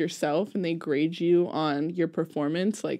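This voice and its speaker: A woman speaks at a fairly low pitch and a fairly slow pace. The background is quiet. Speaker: music teacher guest. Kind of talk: interview answer. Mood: relaxed, friendly. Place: studio. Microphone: studio mic.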